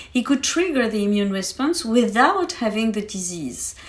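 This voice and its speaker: A woman's fairly high voice with a French accent and very wide pitch swings, over noticeable background noise. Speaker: science expert guest. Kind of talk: podcast interview, explaining science. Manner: hesitant, many fillers.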